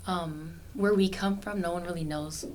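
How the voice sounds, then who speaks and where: Audible room echo surrounds a woman with an American accent. She speaks at a fairly quick pace with a medium pitch and fairly even intonation. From California. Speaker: university student. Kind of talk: casual chat.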